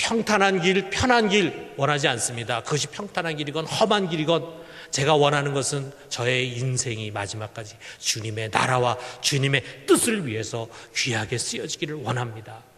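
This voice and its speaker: Amid audible room echo and noticeable background noise, a man speaks at a moderate pace, his fairly high pitch swinging very widely. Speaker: pastor. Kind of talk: sermon.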